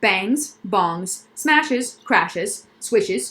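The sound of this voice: An unforced reading voice. That is what this clip holds.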